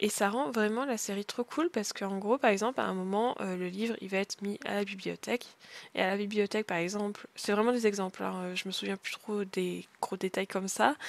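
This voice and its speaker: The delivery is fairly quick, with fairly even intonation. The sound is dry and close, with no echo. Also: woman, medium pitch for a woman. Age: 20s. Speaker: podcaster. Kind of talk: casual podcast monologue. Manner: hesitant, many fillers.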